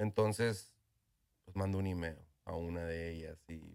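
In a very clean recording with a silent background, a man speaks at a very slow pace in a flat monotone. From northern Mexico (Ojinaga, Chihuahua). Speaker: tequila brand owner. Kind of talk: interview. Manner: halting, with repetitions.

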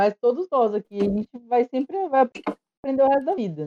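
Dry and close with no echo, a woman's dark, mellow tone sweeps through very wide pitch swings. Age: 30s. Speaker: podcast host. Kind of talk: casual chat. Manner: loud, excitable.

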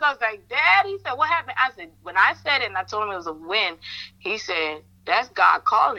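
With a bright, sharp tone at medium pitch, a woman speaks at a fairly quick pace and with lively intonation.

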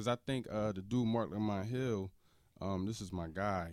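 A man with a fairly low pitch and fairly even intonation, with an American accent, in a very clean recording with a silent background. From US, grew up in the projects. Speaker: podcast guest. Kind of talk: casual chat.

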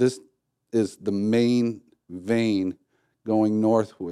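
Heard on a very clean recording with a silent background, a man with an American accent speaks at a fairly low pitch in a dark, mellow tone with fairly even intonation. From Detroit area, Michigan. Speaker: coffee company founder. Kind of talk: casual interview.

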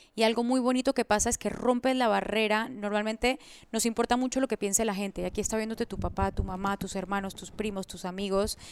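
A woman's fairly high voice at a very fast pace with hardly any pauses and fairly even intonation, on a very clean recording with a silent background. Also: dry, close sound with no echo. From Colombia, moved to Panama at 10. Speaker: entrepreneur and coach. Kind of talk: interview.

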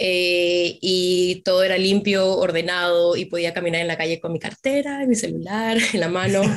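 With a normal speaking voice, this woman keeps to a medium pitch, a moderate pace and ordinary pitch variation. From Peru. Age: 20s. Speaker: dental assistant and nursing student. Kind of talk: interview.

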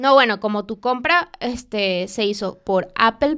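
A fairly high-pitched woman at a fairly slow pace, on a very clean recording with a silent background. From Venezuela. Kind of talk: casual chat.

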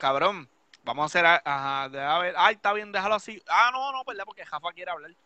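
A man talks at a fairly quick pace in a high pitch, his tone bright and sharp. The sound is dry and close with no echo, and the loudness swings widely. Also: lively intonation. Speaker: DJ and live-stream host. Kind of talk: casual chat. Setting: live stream. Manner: animated.

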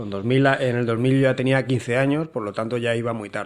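An unremarkable speaking voice from a man at medium pitch and moderate pace, in a very clean recording with a silent background. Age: 30s. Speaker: podcast host, survival school founder. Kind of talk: interview. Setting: home recording.

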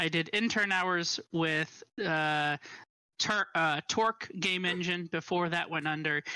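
At a very slow pace and with fairly even intonation, a speaker with an American accent sounds bright and sharp, at very even loudness, in a very clean recording with a silent background and a dry, close sound with no echo. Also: man. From northern Indiana, US Midwest. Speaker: game producer. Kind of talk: casual interview.

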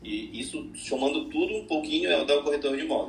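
A man talks at a fairly quick pace. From Belém, Pará, northern Brazil. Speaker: real estate agency owner. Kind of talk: casual chat.

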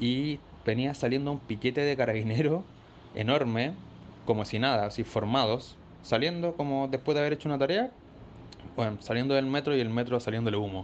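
A man talks in a Chilean accent at a fairly quick pace. His speech has long, frequent pauses. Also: medium pitch for a man, ordinary pitch variation. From Chile, Maipú (Santiago). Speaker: listener sending a voice note. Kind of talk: voice message anecdote.

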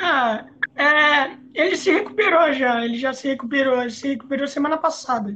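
A woman with a high pitch uses a raised, projected voice at a moderate pace, with ordinary pitch variation. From São Paulo state interior, Brazil. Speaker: podcast host. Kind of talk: casual interview.

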